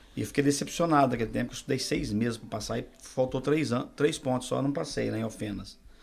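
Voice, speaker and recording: Noticeable background noise sits behind the recording. A man talks at a very fast pace with hardly any pauses. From Minas Gerais, Brazil. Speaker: pastor. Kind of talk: testimony.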